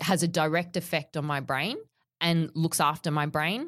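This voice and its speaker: The recording is very clean, with a silent background. A woman speaks in an Australian accent with a fairly low pitch. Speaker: fitness trainer. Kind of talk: interview.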